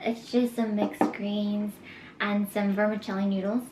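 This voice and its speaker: A woman at a moderate pace, fairly high in pitch, with noticeable background noise. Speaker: vlogger. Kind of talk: casual mukbang vlog. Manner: talkative.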